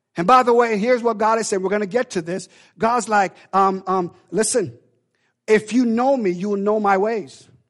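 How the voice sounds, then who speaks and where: Against a quiet background, a man speaks in an animated tone at a high pitch. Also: moderate pace. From Jamaica. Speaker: preacher. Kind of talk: sermon. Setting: church. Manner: animated, exhortative, call-and-response.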